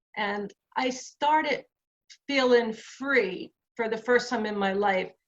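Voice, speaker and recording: A woman with a New Jersey accent and a fairly high pitch. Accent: New Jersey American English. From New Jersey, USA. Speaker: activist, author and columnist. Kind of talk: personal lecture talk.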